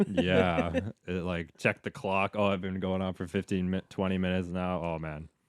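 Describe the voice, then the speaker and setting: A man's very deep, low voice in a flat monotone at a moderate pace, with a dry, close sound, no echo and a very clean recording with a silent background. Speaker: sports broadcaster. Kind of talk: interview answer.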